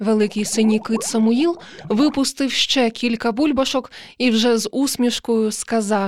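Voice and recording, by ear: Here a passage is read aloud. It comes in a natural voice.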